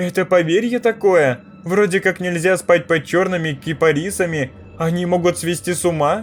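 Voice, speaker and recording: A man speaks at a moderate pace in a high-pitched, put-on character voice. Clear music plays in the background. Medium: read story. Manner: timid, polite.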